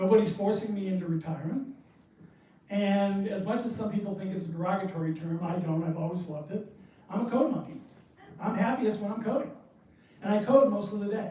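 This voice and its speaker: A man with an American accent speaks at a fairly quick pace in a high pitch with ordinary pitch variation, amid noticeable background noise and audible room echo. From New Hampshire, US. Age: 60s. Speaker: indie game developer. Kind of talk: presentation talk.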